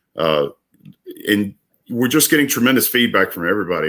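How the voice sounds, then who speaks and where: The tone is bright and sharp, from a man with an American accent. The recording is very clean, the background silent. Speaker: business owner. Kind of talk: casual chat. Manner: halting.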